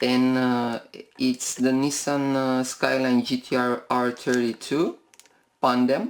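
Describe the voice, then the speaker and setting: Speech unfolds at a very slow rate. A non-native accent colors the words. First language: not English. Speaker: toy car collector YouTuber. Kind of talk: unboxing video. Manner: halting, many fillers.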